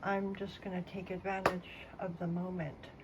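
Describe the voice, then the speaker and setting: Amid audible room echo and noticeable background noise, a woman talks at a medium pitch. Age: 50s. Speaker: vlogger. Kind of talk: casual monologue. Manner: slow.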